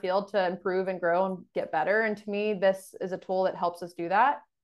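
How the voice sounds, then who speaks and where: A woman's unremarkable speaking voice, medium in pitch, at a moderate pace over a quiet background. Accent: American. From Texas, Dallas area. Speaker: sports dietitian. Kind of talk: interview.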